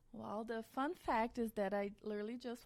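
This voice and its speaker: A woman with a Brazilian accent speaks at a moderate pace and a fairly high pitch. The recording is very clean, with a silent background. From central-west Brazil, small town. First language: Portuguese. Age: 30s. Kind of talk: podcast interview.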